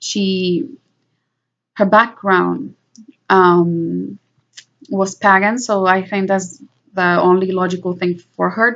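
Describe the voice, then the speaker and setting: Speaking very slowly with a Spanish accent, a woman keeps a medium pitch and fairly even intonation. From Puerto Rico. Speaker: vlogger. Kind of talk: personal monologue. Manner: halting.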